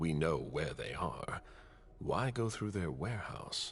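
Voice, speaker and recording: A man puts on a character voice with a fairly low pitch. He speaks at a fairly slow pace over clear background noise. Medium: video game. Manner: serious, direct.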